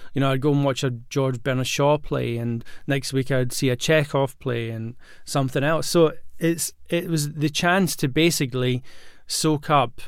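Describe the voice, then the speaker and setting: In a Glaswegian accent, a man talks at a fairly slow pace and medium pitch with fairly even intonation. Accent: Glaswegian Scottish. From Scotland (Glasgow). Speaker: acting coach and podcast host. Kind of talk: solo podcast monologue. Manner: casual with many fillers and restarts.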